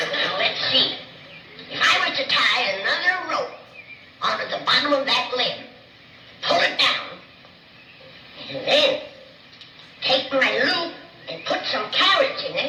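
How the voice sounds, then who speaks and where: Using a put-on character voice, a woman talks fairly slowly amid loud background noise and a slight echo. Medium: short film. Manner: feisty, stubborn.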